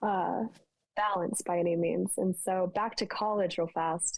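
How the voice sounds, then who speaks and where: With an American accent, a woman talks at a medium pitch with fairly even intonation in a plain, everyday voice. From Las Vegas, Nevada, US. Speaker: TV meteorologist and army helicopter pilot. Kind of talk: casual podcast interview.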